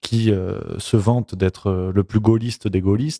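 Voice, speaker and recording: Recorded very clean with a silent background and a dry, close sound with no echo, a man speaks in a dark, mellow tone at a fairly low pitch with fairly even intonation. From southern France, Provence. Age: 20s. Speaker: YouTuber. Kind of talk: interview. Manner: hesitant, many repetitions.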